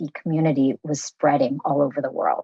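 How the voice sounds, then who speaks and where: This woman has a very deep, low voice and speaks with an American accent. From US, raised from age 3 after leaving Vietnam. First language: Vietnamese. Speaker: podcast founder and host. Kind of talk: interview conversation. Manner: casual, with many fillers.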